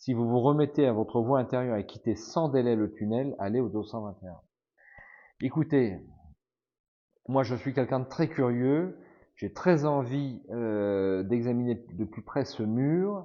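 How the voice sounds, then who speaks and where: Medium pitch from a man at a fairly slow pace, with ordinary pitch variation and long, frequent pauses. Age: 50s. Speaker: gamebook playthrough streamer. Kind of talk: reading aloud.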